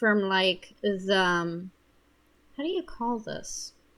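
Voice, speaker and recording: Her pitch shows ordinary variation. The speaker is a woman. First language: not English. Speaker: gaming video creator. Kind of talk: gameplay commentary. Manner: casual with many fillers.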